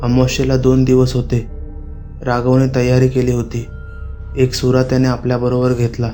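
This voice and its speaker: Music plays in the background as a man with a medium pitch speaks in a monotone, flat intonation. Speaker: horror storyteller. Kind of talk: Marathi horror story narration. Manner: narrating in storytelling style.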